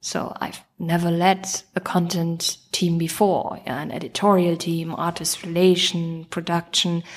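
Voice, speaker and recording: A woman with a German accent speaks at a fairly slow pace and a fairly low pitch, monotone and flat, with hardly any pauses. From Germany. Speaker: chief operating officer. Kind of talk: interview.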